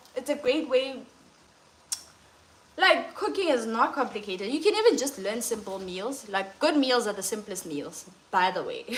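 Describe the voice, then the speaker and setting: Someone with a non-native accent speaks at a moderate pace over noticeable background noise. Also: woman. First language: not English. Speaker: lifestyle and cooking coach. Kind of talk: livestream talk.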